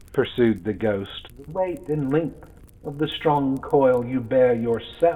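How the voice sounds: What we hear is a natural reading voice.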